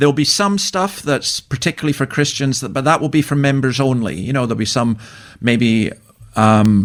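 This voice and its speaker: A man with a Scottish accent at a moderate pace and medium pitch, in a very clean recording with a silent background. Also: lively intonation. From Scotland. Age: 60s. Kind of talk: radio interview.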